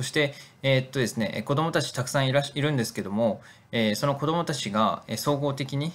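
The recording is very clean, with a silent background. A man talks at a fairly high pitch and a fairly quick pace, with ordinary pitch variation. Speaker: nonprofit director. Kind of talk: video narration. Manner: hesitant with fillers.

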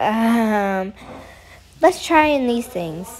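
Noticeable background noise fills the clip. Through it, a woman can be heard talking. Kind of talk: casual gameplay commentary.

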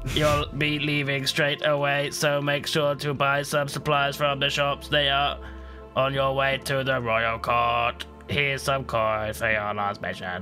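Over clear music in the background, a man uses a put-on character voice. He talks at a fairly slow pace in a medium pitch. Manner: flat, disinterested.

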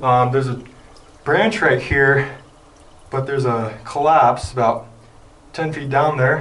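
A man speaks at a very slow pace. Light background noise sits behind him. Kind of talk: casual vlog commentary. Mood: annoyed, uncomfortable. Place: tunnel cave. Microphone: phone near.

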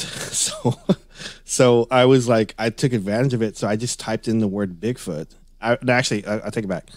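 Speaking with an American accent, this man's voice sits at a medium pitch and rises and falls in an ordinary way. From Northeast Texas. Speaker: Bigfoot and paranormal researcher. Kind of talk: casual interview. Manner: halting, many repetitions.

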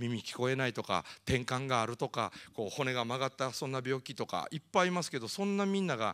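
Against a quiet background, a man with a Kansai accent talks at a moderate pace, his pitch swinging very widely. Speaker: motivational speaker. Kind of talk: lecture. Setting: stage with audience. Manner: animated. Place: hall. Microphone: handheld.

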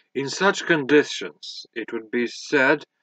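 The delivery is very slow with lively intonation, in a dry sound with no echo against a quiet background. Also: man. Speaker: audiobook reader. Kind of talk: audiobook reading of a scholarly history text, read aloud. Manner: formal, measured, even-paced. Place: home room. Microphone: webcam.

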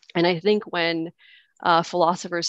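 A woman with a normal speaking voice and fairly low pitch talks at a fairly quick pace with fairly even intonation, the sound dry with no echo and the background quiet. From Canada. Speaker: participant sharing conversion story. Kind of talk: personal testimony. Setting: video call. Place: home room. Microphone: headset.

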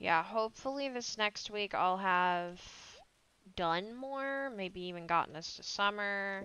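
At a fairly slow pace, a woman speaks in a bright, sharp tone, her medium pitch showing ordinary variation. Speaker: gaming YouTuber. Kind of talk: let's play commentary. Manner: casual, meandering.

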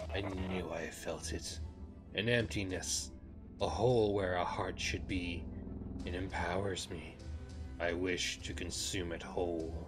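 A put-on character voice at a fairly slow pace, with long, frequent pauses over loud background music. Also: man, very deep, low pitch for a man. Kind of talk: grandiose villain speech. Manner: ominous, hungry.

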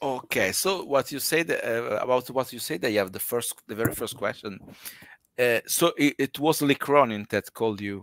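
A man with an Italian accent, moderate pace and ordinary pitch variation. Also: medium pitch for a man, dry, close sound with no echo. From Italy. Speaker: podcast host, horror film fan. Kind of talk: live interview. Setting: video call livestream. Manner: halting, frequent fillers.

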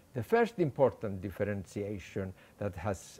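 This voice carries a Greek accent at a moderate pace. Its tone is dark and mellow. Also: man. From Cyprus. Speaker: economist; lecturer. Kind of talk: lecture. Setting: stage with audience. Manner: halting. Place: garden. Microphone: podium.

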